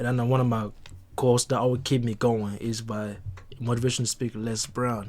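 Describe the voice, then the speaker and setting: The speaker talks in a Congolese accent. Their intonation is monotone and flat. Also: man. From DR Congo. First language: not English. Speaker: podcast guest. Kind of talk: casual chat.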